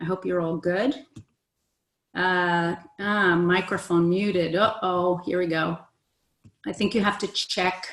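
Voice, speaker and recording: A woman speaks at a medium pitch with fairly even intonation. She leaves long, frequent pauses. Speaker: essential oils educator and webinar host. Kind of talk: online webinar presentation. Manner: fast.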